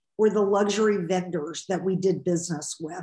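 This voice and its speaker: A woman's voice comes through somewhat breathy. There is audible room echo against a quiet background. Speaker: podcast guest. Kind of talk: interview answer. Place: home room. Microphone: video call.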